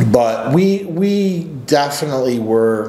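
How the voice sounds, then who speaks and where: With audible room echo, a man speaks with lively intonation. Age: 40s. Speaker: men's coach and channel host; men's coach, channel host. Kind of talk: personal story monologue. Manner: casual, with filler words. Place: office. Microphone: webcam.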